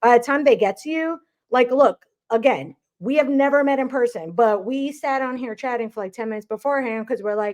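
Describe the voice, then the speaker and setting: At a fairly quick pace, a woman speaks with a high pitch and ordinary pitch variation, the sound dry and close with no echo over a quiet background. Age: 40s. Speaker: podcast host, real estate agent. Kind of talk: casual interview chat.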